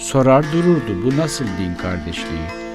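With music playing in the background, a man speaks at a very slow pace. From Turkey, Burdur. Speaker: writer. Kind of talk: poetry reading.

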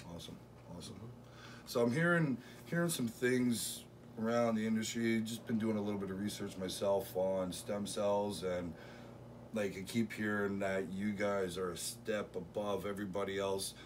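Over light background noise, a man with a fairly low pitch talks at a moderate pace. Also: ordinary pitch variation. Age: 40s. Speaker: arm wrestler and vlogger. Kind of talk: vlog narration; casual interview chat. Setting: outdoors in a park. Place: home room. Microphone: camera far.

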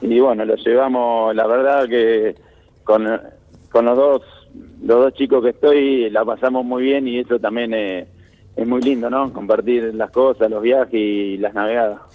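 A man's medium-pitched voice at a fairly slow pace, with monotone, flat intonation. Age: 30s. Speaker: Olympic sailor. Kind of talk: interview.

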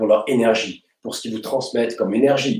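A man with a fairly low pitch, a slightly mellow tone and a fairly quick pace, in audible room echo

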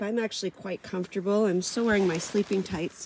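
A woman's fairly low, slightly mellow voice with a slightly husky edge, ordinary pitch variation and a fairly quick pace

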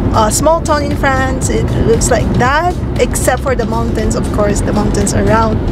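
Music plays behind a woman speaking at a fairly slow pace. The sound is dry with no echo. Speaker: travel vlogger. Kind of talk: casual vlog chat. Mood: cheerful, relaxed. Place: car. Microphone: phone near.

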